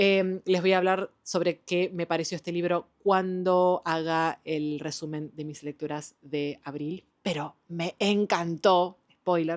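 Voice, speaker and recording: A woman speaks at a fairly slow pace with fairly even intonation and a fairly low pitch. The sound is dry and close, without echo. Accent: Argentine. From Argentina. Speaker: book youtuber. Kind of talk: casual book review vlog. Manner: casual, with fillers and hesitations.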